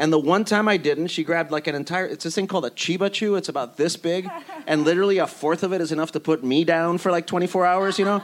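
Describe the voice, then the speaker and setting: Over noticeable background noise, the speech rushes by at a very fast pace. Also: man, high pitch for a man, fairly even intonation. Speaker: TV writer. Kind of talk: panel discussion.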